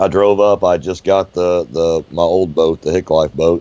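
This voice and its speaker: The pace is fairly slow. The speech comes in an American accent. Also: man. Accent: Southern hillbilly. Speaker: boat owner, drainage engineer. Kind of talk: casual podcast chat. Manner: animated storytelling.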